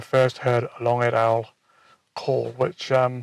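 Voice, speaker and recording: A man speaks quietly in a dry, close sound with no echo. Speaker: wildlife photographer vlogger. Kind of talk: casual vlog narration to camera. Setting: outdoors at dusk. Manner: hesitant, many fillers and repeats; quiet, keeping voice down.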